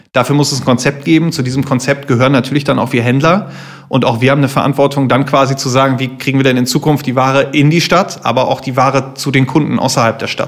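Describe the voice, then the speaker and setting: A man at a very fast pace with monotone, flat intonation, amid noticeable background noise. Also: medium pitch for a man. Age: 30s. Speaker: fashion retailer, business owner. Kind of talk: interview.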